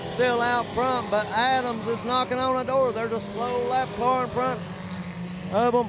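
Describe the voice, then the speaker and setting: There is noticeable background noise as a man talks at a fairly slow pace. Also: dry sound with no echo. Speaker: race commentator. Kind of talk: commentary. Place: stadium.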